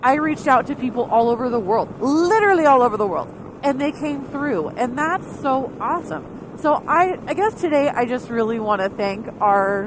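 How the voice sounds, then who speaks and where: Amid noticeable background noise, a woman with a high pitch speaks at a moderate pace with hardly any pauses, her animated tone swinging very widely in pitch. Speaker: motorcycle vlogger. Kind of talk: casual vlog monologue. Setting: riding motorcycle, helmet camera.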